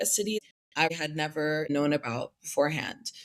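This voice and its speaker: A woman with an American accent speaks at a moderate pace. She has an unremarkable speaking voice with ordinary pitch variation. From Pennsylvania, US (near Philadelphia). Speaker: recent graduate, Fulbright grantee. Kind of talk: interview.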